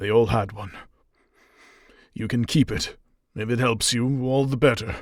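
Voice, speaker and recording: A man in a raspy put-on character voice speaks at medium pitch and a moderate pace, with fairly even intonation and long, frequent pauses. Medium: read story. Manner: nervous, halting.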